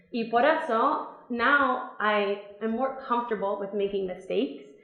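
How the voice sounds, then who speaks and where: Someone with an American accent speaks over music in the background, with audible room echo. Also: woman. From Virginia, US. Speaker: English teaching assistant. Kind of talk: testimony talk.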